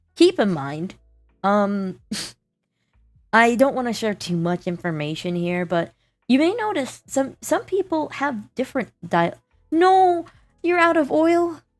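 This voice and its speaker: Over music in the background, a woman speaks fairly slowly in a high voice, her pitch swinging very widely between long, frequent pauses. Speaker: livestreamer. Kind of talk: casual chat. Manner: sounds professional; halting.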